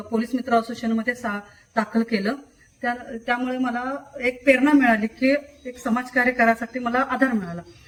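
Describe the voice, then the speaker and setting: A woman speaks at a high pitch with a monotone, flat delivery. Noticeable background noise runs behind her. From Kolhapur, Maharashtra, India. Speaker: social worker and award recipient. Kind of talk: testimony. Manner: halting.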